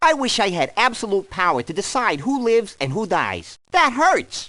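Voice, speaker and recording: Putting on a character voice, a man speaks high-pitched at a moderate pace with very wide pitch swings. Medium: dub. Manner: sarcastic, wisecracking.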